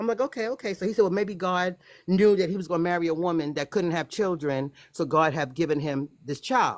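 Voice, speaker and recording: A woman's fairly low voice with an American accent, a normal speaking voice at a fairly quick pace, with lively intonation, on a very clean recording with a silent background. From United States. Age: 60s. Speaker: guest telling personal story. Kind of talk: testimony.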